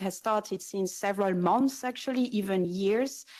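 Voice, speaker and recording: A woman with a French accent at a moderate pace, on a very clean recording with a silent background. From France. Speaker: environmental NGO representative. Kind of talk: panel discussion. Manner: hesitant, many fillers.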